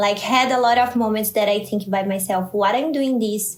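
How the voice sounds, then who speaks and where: Speaking with a Brazilian Portuguese accent, a woman uses a fairly high pitch and fairly even intonation at a moderate pace, with audible room echo. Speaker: scientist and startup founder. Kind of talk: interview. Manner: halting, searching for words.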